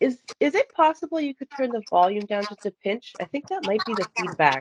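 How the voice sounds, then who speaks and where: Loud and fairly quick, a woman talks with very wide pitch swings in a dry, close sound with no echo. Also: fairly high pitch for a woman. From grew up on a farm. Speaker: podcast host. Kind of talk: casual interview chat.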